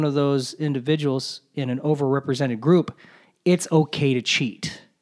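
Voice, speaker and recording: The sound is dry and close, with no echo. A man speaks at a moderate pace in a fairly high pitch. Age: 40s. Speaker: podcast host. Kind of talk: solo monologue podcast. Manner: casual with frequent fillers and repetitions.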